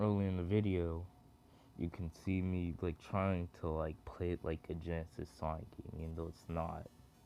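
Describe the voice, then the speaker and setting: A man's very deep, low pitch and monotone, flat intonation at a moderate pace, with music in the background. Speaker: gaming youtuber. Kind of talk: gameplay commentary. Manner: halting, filler-heavy.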